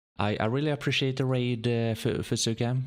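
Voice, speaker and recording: A man's medium-pitched voice with a slight Swedish accent and fairly even intonation, on a very clean recording with a silent background. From Sweden. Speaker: video game streamer. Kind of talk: gameplay commentary. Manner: halting, many repetitions; calm, sleep-inducing.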